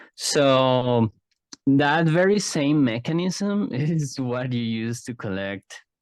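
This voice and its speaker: The man's voice sits at a medium pitch with very wide pitch swings. The sound is dry and close with no echo. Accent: Spanish. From Mexico, Guadalajara (Jalisco). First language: Spanish. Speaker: psychologist and card game artist. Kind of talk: interview conversation. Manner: halting, many fillers.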